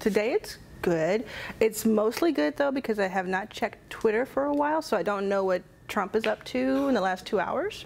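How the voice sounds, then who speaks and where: Fairly high in pitch, a woman with an American accent talks at a moderate pace with very wide pitch swings and very even loudness. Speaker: venture capital founder. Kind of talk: casual chat.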